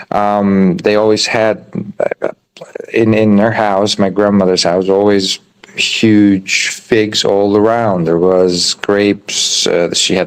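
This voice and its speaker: The speaker has an Albanian accent and a monotone, flat intonation. The pace is very slow. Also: man. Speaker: chef and restaurant owner. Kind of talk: interview. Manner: halting, many fillers.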